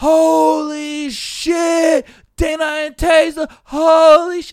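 In a put-on character voice, the speaker talks at a high pitch and a very slow pace.

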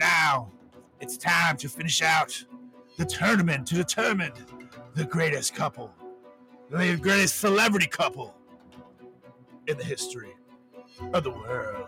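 A man puts on a booming character voice with a dramatic tone, fairly high pitch and lively intonation. He keeps a moderate pace with long, frequent pauses, while faint music plays in the background. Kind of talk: theatrical announcement. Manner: dramatic, booming.

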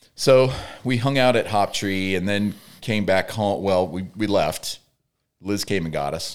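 A man with a plain, everyday voice speaks fairly low with ordinary pitch variation on a very clean recording with a silent background. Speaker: podcast co-host. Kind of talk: casual chat.

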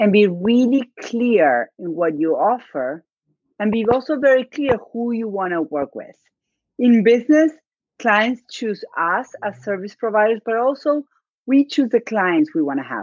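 A woman with a non-native accent speaks at a fairly slow pace in a fairly high pitch. Her pitch swings very widely, with a dry, close sound and no echo. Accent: noticeable non-native. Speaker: podcast guest, business coach. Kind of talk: conversational, confident. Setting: live stream / video call.

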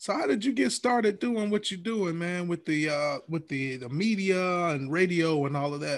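With an American accent, a man speaks at a moderate pace and high pitch, his intonation lively and his speech running on with hardly any pauses. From Alabama. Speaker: podcast host. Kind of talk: scripted intro; casual interview. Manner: relaxed slangy.

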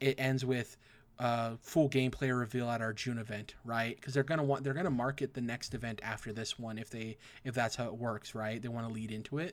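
A man with a normal speaking voice talks at a fairly quick pace in a medium pitch. His intonation stays fairly even, and the recording is very clean, with a silent background. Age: 20s. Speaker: video game podcast host. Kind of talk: casual chat.

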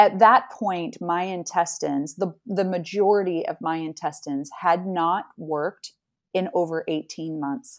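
With an American accent and an ordinary speaking voice, a woman talks at a fairly slow pace in a fairly low pitch with ordinary pitch variation. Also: very clean recording, silent background. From Utah, US. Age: 40s. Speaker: cancer survivor and resilience speaker. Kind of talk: interview testimony.

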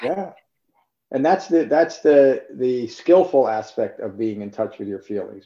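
A man speaks at a moderate pace. He has an ordinary speaking voice. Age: 60s. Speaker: meditation teacher. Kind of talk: dharma talk. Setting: video call.

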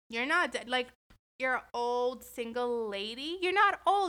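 Raised and projected, a woman's high-pitched voice has a bright, sharp tone, lively intonation and an animated tone at a moderate pace. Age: 20s. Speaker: podcast host. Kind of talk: casual monologue.

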